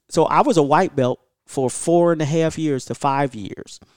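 A man's fairly high voice at a moderate pace, a normal speaking voice with ordinary pitch variation, dry and close with no echo, on a very clean recording over a silent background. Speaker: martial arts school head and instructor. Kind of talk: casual podcast interview. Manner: laughs often.

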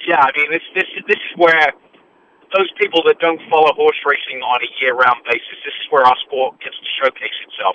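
An English accent from a man at a fairly high pitch, ordinary pitch variation, big swings in loudness. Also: moderate pace. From England. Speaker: horse racing analyst and former trainer. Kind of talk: radio interview.

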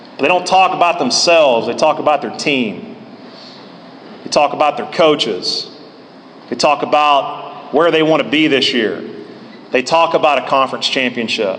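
Noticeable background noise surrounds a man with a fairly high pitch. He talks at a moderate pace, leaving long, frequent pauses. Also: ordinary pitch variation. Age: 30s. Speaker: college baseball head coach. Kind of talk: speech at a banquet.

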